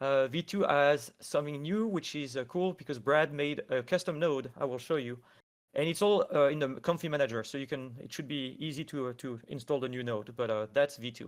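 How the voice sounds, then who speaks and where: A man's fairly high voice at a fairly quick pace, with ordinary pitch variation, on a very clean recording with a silent background. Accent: French. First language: French. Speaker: AI artist. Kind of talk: tutorial. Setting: live stream.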